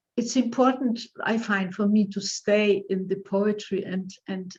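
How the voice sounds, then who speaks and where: A somewhat breathy woman's voice at medium pitch, fairly slow, with fairly even intonation. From Poland. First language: Polish. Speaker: poet. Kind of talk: interview. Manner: halting.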